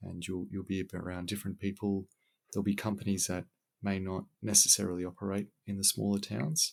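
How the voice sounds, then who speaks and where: A man with an Australian accent speaks at a fairly quick pace in a fairly low pitch. His intonation is fairly even, and the recording is very clean with a silent background. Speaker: civil engineer. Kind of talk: podcast interview answer.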